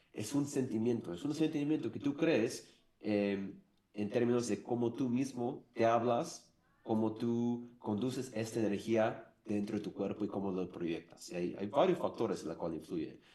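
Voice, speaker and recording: A man with a non-native accent speaks at medium pitch, his tone dark and mellow. His pace is fairly slow and his intonation lively. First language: English (speaking Spanish). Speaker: former marketing director. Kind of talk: interview. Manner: halting.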